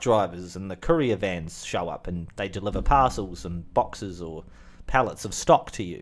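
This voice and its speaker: With a New Zealand accent and lively intonation, a man speaks in a very clean recording over a silent background. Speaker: channel host, movie talk. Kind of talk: casual solo chat. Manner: rambling with many fillers.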